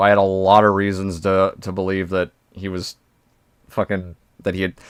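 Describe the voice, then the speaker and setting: A man speaks at a very deep, low pitch. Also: very clean recording, silent background. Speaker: streamer reacting to videos. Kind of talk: live stream reaction commentary. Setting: live stream with voice chat. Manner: stumbles over words on stream; animated.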